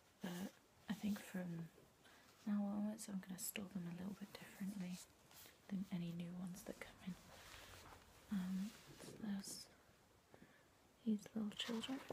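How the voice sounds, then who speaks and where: A soft-spoken woman whispers, somewhat breathy, with long, frequent pauses and noticeable background noise. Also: moderate pace. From UK. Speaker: collector. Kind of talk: casual talk to camera. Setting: bedroom. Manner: soft-spoken, whispered. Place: home room. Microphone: phone near.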